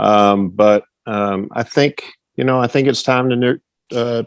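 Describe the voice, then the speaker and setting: A man with an American accent talks at a fairly slow pace in a medium pitch. He has a plain, everyday voice with fairly even intonation. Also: dry, close sound with no echo. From Texas, Fort Worth. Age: 60s. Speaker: retired track and field coach. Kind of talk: casual interview. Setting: podcast.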